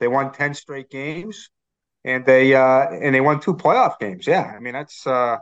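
Against a quiet background, a man speaks at medium pitch with a Boston accent and ordinary pitch variation. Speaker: team writer. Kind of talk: sports podcast interview.

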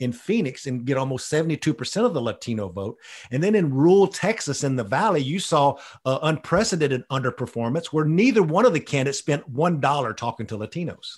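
A man with an American accent talks at a fairly quick pace in a fairly high pitch, his voice somewhat breathy. His intonation is lively against a quiet background. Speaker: political strategist. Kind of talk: interview. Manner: folksy, conversational.

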